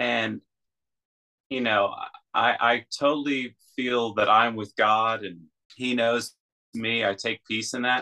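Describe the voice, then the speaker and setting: At a very slow pace with long, frequent pauses, a man speaks in a medium pitch and a monotone, flat intonation. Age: 40s. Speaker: guest sharing life story. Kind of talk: casual interview testimony.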